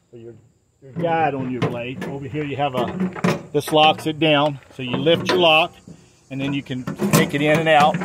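A man talks at a moderate pace while loud background noise carries on behind him. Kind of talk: tutorial. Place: open country. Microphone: phone near.

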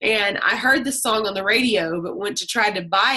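A woman speaks at a moderate pace in a bright, sharp tone, with a quiet background. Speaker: group call host. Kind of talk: personal storytelling to a group. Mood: warm, animated storytelling. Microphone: video call.

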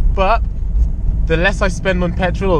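Over music in the background, a man talks at a fairly quick pace, the sound dry with no echo. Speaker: car vlogger. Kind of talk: casual vlog chat. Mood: cheerful, laughing. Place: car. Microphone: camera far.

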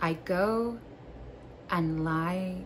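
A woman speaks in a gentle tone over noticeable background noise. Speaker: video creator and poetry reader. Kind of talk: poem reading, calm and warm, framed by casual joking chat. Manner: slow, gentle, sincere reading; casual, chatty, self-deprecating, joking. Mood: calm, soft, playful asides. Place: home room. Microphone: phone near.

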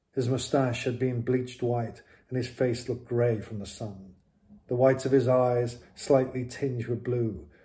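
The text is read aloud. The voice sounds natural.

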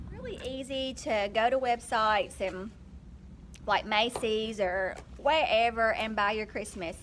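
A woman at a fairly slow pace, lively intonation, light background noise. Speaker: vlogger, teacher. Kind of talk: casual vlog chat. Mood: earnest, persuasive. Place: classroom. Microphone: phone near.

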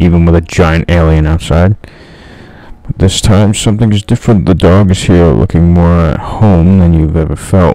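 A man's very deep, low voice at a moderate pace over noticeable background noise. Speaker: gaming YouTuber. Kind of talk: gameplay commentary, reading the game's second-person horror narration aloud. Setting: solo gameplay recording. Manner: casual, self-mocking.

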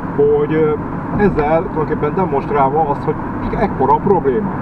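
Against loud background noise, a man talks at a fairly quick pace with ordinary pitch variation, and the sound is dry with no echo. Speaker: driving vlogger. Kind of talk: casual vlog chat. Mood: frustrated complaint about trains. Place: car. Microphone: camera far.

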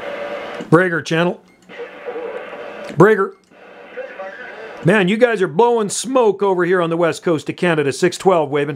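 A man speaks with a high pitch and ordinary pitch variation, at a fairly slow pace. His long pauses come often, over light background noise. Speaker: CB radio operator. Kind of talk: radio chat. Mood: friendly, upbeat. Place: home room.

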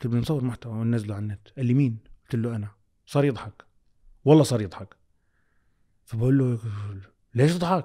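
Against a quiet background, a man with a dark, mellow tone talks at a fairly quick pace with ordinary pitch variation and long, frequent pauses. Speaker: content creator and communications executive. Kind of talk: casual chat. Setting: studio. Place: studio. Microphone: studio mic.

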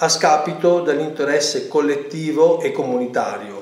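Speaking at a fairly slow pace, a man with a fairly high pitch keeps his intonation fairly even over audible room echo. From Lombardy, Italy. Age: 50s. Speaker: mayoral candidate, architect and teacher. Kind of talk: interview answers, political campaign talk. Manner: formal, somewhat halting with fillers. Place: home room. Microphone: webcam.

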